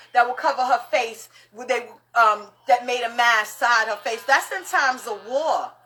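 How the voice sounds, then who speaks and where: Against noticeable background noise, a woman with a high pitch speaks in an animated tone at a moderate pace, with ordinary pitch variation. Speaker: live stream host, spiritual practitioner. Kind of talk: casual live stream chat. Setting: live social media stream. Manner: loud.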